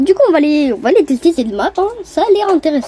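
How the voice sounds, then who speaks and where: Lively in intonation, a woman speaks at a fairly quick pace over noticeable background noise. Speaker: gaming video creator. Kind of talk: gameplay commentary. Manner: fast; animated.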